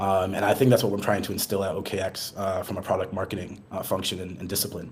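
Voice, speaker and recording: Talking at a very fast pace, a man with an American accent has a somewhat breathy, fairly low voice. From US, Boston. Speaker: marketing executive. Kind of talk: podcast interview. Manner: fast, many fillers and false starts.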